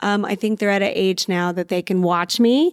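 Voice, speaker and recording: A woman at medium pitch speaks at a moderate pace in an American accent, on a very clean, dry and close recording with a silent background and no echo. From US South, San Antonio, Texas. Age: 40s. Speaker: mom entrepreneur and web show creator. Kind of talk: casual interview chat.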